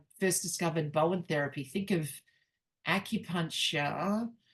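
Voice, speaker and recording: A woman with an Australian accent speaks at a fairly low pitch and moderate pace with fairly even intonation. The background is quiet. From Australia, Newcastle NSW. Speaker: networking group host. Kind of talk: casual chat.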